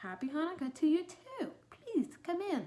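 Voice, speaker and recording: A put-on character voice, growling and high-pitched, with very wide pitch swings. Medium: read story. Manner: gruff, few words.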